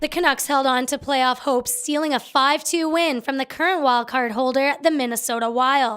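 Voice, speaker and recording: Her pitch is high, and her intonation fairly even. The woman keeps a moderate pace with hardly any pauses. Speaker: radio sports anchor. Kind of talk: radio game wrap.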